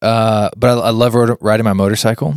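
In a very clean recording with a silent background and a dry, close sound with no echo, a man with an American accent has an unremarkable speaking voice, a fairly low pitch, fairly even intonation and a moderate pace. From Kansas, US. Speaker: podcast host. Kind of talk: casual chat.

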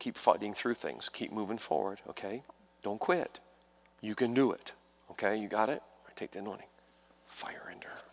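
A man whispering at a fairly quick pace, with long, frequent pauses and big swings in loudness. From New York, Italian-American home. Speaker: visiting evangelist. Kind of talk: charismatic revival healing line, laying on hands and calling out ailments. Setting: church revival service with congregation. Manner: urgent, breathless pace shifting to tender coaxing.

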